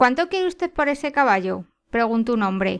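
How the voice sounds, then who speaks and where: A woman speaks at a fairly quick pace with fairly high pitch. It is an ordinary speaking voice. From Spain. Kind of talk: short story reading.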